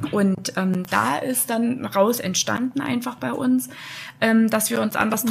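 A somewhat breathy woman at a fairly slow pace, with very wide pitch swings. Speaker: HR manager at a bakery. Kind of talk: interview.

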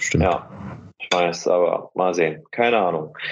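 An ordinary speaking voice from a man, with ordinary pitch variation. He talks at a fairly slow pace. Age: 20s. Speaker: natural bodybuilder. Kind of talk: casual chat.

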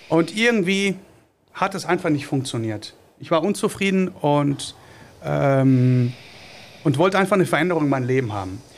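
Lively in intonation and fairly high in pitch, a man speaks at a moderate pace with long, frequent pauses. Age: 40s. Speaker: small business owner, trained industrial mechanic. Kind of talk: podcast interview. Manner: halting, many filler sounds.

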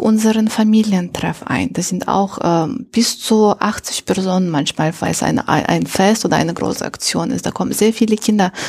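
Somewhat breathy, a woman with a non-native accent speaks at a moderate pace and medium pitch with ordinary pitch variation. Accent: foreign accent in German. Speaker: integration coordinator at a refugee meeting centre. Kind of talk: interview. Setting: meeting centre room.

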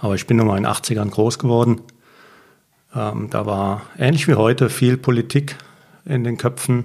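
Speaking at a moderate pace with long, frequent pauses, a man at medium pitch keeps his intonation fairly even. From Germany, Mosel region (Reil). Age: 50s. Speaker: winemaker. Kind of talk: casual interview.

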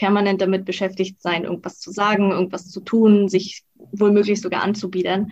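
Somewhat breathy and flat in intonation, a woman speaks at medium pitch and a moderate pace over a quiet background. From Mecklenburg-Western Pomerania, Germany. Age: 20s. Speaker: freelance copywriter and blogger. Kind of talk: interview.

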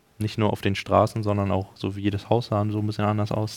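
A man with a plain, everyday voice talks at a fairly quick pace and fairly low pitch, captured in a very clean recording with a silent background. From Germany. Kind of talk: casual chat.

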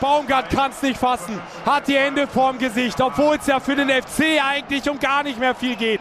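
Over noticeable background noise, a man talks in an animated tone at an extremely high pitch. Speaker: radio football commentator. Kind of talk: live commentary. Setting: stadium.

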